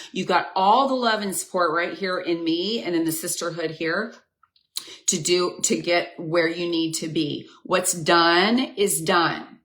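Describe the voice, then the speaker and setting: Speaking at a fairly slow pace, a woman with a fairly low pitch is heard with audible room echo. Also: ordinary pitch variation. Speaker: women's health coach and nurse. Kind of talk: live stream coaching talk. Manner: animated.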